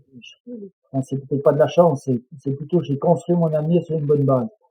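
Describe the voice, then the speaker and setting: A man's fairly high, somewhat breathy voice with fairly even intonation. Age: 60s. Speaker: mountain guide and adventurer. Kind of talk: interview conversation.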